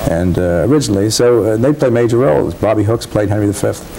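With music in the background, a man speaks very fast, his pitch varying in an ordinary way. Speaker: guest. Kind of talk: interview answer. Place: studio.

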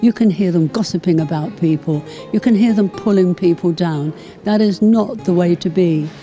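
A woman with a fairly low voice talks at a moderate pace, her loudness very even and her pitch variation ordinary, with faint music in the background. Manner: encouraging. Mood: warm, encouraging. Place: home room. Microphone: handheld.

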